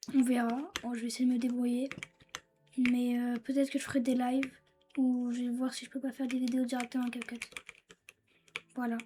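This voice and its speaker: A woman with a high pitch and monotone, flat intonation, at a fairly quick pace broken by long, frequent pauses. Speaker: gaming YouTuber. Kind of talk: gameplay commentary. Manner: halting.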